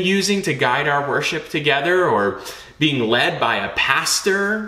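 A man's bright, sharp tone at a fairly slow pace

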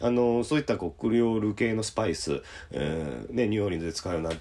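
The recording is very clean, with a silent background. A man speaks at a very deep, low pitch with vocal fry. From Osaka, Japan. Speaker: jazz pianist. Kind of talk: casual radio-style talk show.

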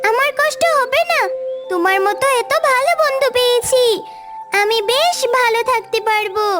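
Clear music plays behind a cartoonish character voice at an extremely high pitch. The delivery is fairly slow. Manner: polite, gentle.

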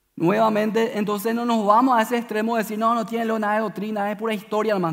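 A man speaks at a high pitch. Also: hardly any pauses. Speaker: preacher. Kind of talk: sermon.

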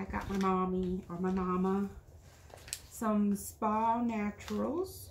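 Noticeable background noise sits behind a woman's voice. Her intonation is fairly even. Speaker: craft vlogger. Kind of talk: casual haul video chat. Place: home room. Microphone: camera far.

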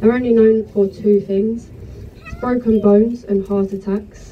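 Against light background noise, a woman talks in monotone, flat intonation. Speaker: tour guide. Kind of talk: tour commentary. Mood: joking, friendly. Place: boat. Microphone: pa.

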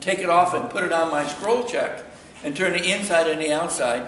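Light background noise and audible room echo surround a man's high-pitched voice. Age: 70s. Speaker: woodturner; woodturning demonstrator. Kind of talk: lecture. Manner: halting. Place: workshop. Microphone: camera far.

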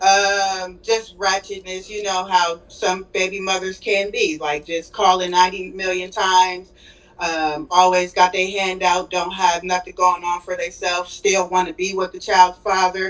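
Fairly slowly and with hardly any pauses, a woman speaks in a flat, monotone way. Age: 30s. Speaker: caller. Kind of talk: casual chat. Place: home room. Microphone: video call.

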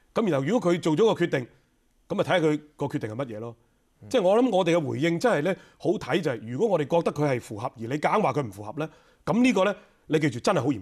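Against a quiet background, a man speaks at a very fast pace in a fairly high pitch, with very wide pitch swings and big swings in loudness. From Hong Kong. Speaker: legislator; interview guest. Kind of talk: radio interview. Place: studio. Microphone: lapel.

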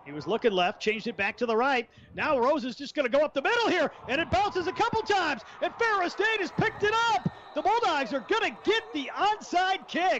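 A man speaks at extremely high pitch with an energetic, excited tone and very wide pitch swings. His pace is fairly quick, with noticeable background noise. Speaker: play-by-play commentator. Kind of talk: live sports commentary, play-by-play of a football game. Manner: fast, energetic play-by-play delivery, excited on big plays.

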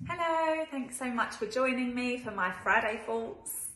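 A woman speaks at a fairly slow pace with ordinary pitch variation, her voice carrying audible room echo. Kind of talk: casual vlog chat. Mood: warm, upbeat, encouraging. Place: kitchen. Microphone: phone near.

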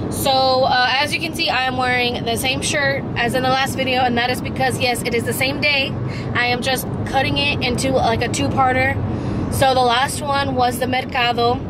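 There is loud background noise behind the voice. A woman speaks at a moderate pace. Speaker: vlogger. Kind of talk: casual vlog chat. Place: car. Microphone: phone near.

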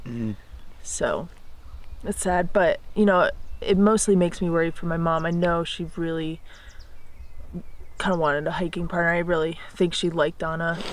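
A woman speaks with fairly low pitch and fairly even intonation, leaving long, frequent pauses, in a dry recording with no echo. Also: moderate pace. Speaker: hiker vlogger. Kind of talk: casual vlog chat. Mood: worried, reflective. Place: forest. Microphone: phone near.

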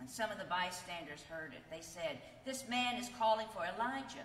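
A woman speaks at a moderate pace with a fairly bright tone, a medium pitch and lively intonation, and audible room echo surrounds her voice.

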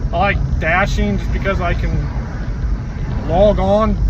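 Over loud background noise, a man speaks at a fairly slow pace with a dry sound and no echo. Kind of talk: casual vlog chat. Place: car. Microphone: phone near.

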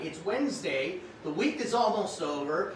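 There is noticeable background noise as a man speaks at a fairly slow pace. His tone is upbeat, with very wide pitch swings. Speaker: online shopping show host. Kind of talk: live stream shopping show, casual talk to viewers.

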